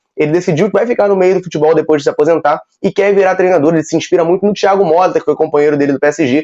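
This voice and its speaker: A man with a high pitch and a dark, mellow tone talks at a very fast pace with hardly any pauses. His intonation stays fairly even. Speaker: football news youtuber. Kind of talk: casual news commentary.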